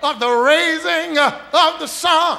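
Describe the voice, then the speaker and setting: With an American accent, a man speaks in a raised, projected voice at a very slow pace and an extremely high pitch. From Texas, USA. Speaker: pastor. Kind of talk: sermon. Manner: preaching cadence, whooping close. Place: church. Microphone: podium.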